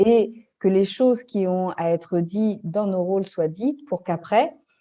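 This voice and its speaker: This woman speaks fairly slowly at a medium pitch, her tone dark and mellow. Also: ordinary pitch variation. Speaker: family constellations facilitator. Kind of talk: interview answer.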